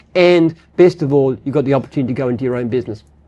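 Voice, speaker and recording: A man with an Australian accent talks at a very fast pace. His tone is dark and mellow, his intonation lively. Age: 70s. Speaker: business founder. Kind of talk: casual chat. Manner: halting.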